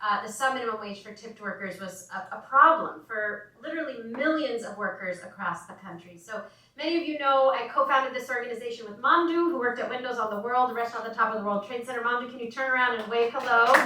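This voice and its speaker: A woman's high voice at a very fast pace with hardly any pauses, ordinary pitch variation, big swings in loudness, audible room echo and noticeable background noise. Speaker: advocacy organization co-founder. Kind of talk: event speech.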